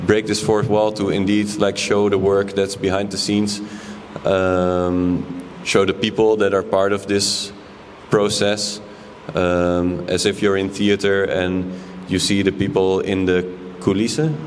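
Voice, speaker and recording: Against noticeable background noise, the voice holds a very even loudness and a flat monotone at a fairly slow pace. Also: man, fairly low pitch for a man. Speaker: exhibiting artist. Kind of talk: panel discussion. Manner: halting, many fillers and repetitions.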